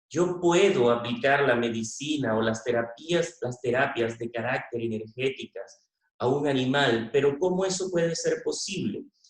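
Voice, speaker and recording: Fairly high for a man, his pitch moves with lively intonation. He has an ordinary speaking voice and a fairly slow pace. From Venezuela. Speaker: veterinarian. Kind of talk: conference talk.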